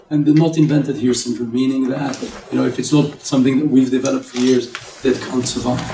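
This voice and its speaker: Against noticeable background noise, a man talks at a very fast pace with fairly even intonation. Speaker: tech executive and investor speaker. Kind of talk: business talk to an audience.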